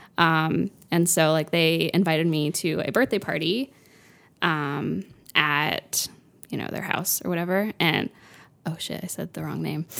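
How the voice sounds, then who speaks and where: A woman with an American accent, fairly low-pitched with vocal fry, at a fairly slow pace on a very clean recording with a silent background. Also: ordinary pitch variation. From US South, Florida. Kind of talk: casual chat.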